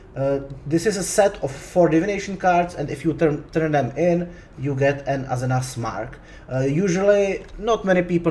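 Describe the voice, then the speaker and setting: A man speaks with a non-native accent. His voice is somewhat breathy. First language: Czech. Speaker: gaming YouTuber. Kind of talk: tutorial. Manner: halting, many fillers and restarts.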